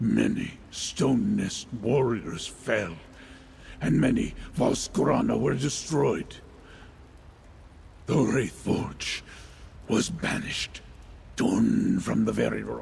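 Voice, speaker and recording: Over clear background noise, a man uses a put-on character voice at a very slow pace, with long, frequent pauses. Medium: video game. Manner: solemn, measured.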